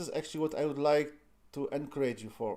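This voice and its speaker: This man's voice has a dark, mellow tone. Its pitch is fairly high. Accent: non-native. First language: not English. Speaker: lean six sigma trainer. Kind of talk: live-streamed tutorial. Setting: live stream. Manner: halting, many fillers.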